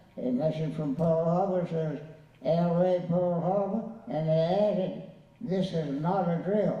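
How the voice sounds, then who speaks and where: Over noticeable background noise, a man with an American accent speaks very slowly in a high voice with ordinary pitch variation. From Southern US. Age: 80s+. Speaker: war veteran. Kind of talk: interview answer.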